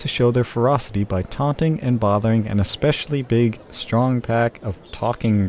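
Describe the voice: Plain reading aloud with ordinary pitch variation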